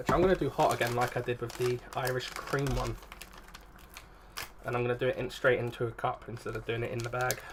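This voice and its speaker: Over noticeable background noise, a man with an English accent mumbles at a very fast pace, his pitch medium and intonation fairly even, broken by long, frequent pauses. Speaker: YouTuber. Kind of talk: casual food review vlog. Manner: mumbling.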